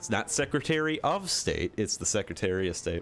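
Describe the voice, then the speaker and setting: With a Michigan accent, a man speaks at a moderate pace and a medium pitch. His pitch swings very widely. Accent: mild Michigan. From Michigan, US Midwest. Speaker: gaming streamer. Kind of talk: casual live-stream chat.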